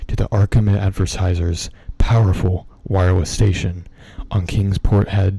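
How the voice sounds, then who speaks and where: A man speaks at a fairly slow pace with a fairly low pitch. His tone is dark, mellow, relaxed and somewhat breathy. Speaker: ASMR streamer and horror story reader. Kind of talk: horror story reading for a live stream. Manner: relaxed, ASMR-style.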